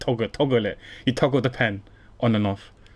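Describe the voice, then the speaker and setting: This is a man with a British accent. His pitch moves in an ordinary way. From UK. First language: not English. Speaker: game streamer. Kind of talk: casual chat.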